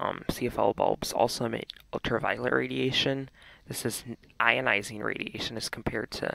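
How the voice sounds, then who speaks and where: Quietly and at a moderate pace, a man speaks against noticeable background noise. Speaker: radiation measurement presenter. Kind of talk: casual demonstration talk to camera. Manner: quiet, hushed.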